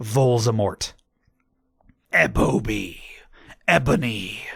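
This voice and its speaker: A raspy put-on character voice at a very slow pace. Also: man, medium pitch for a man. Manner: evil.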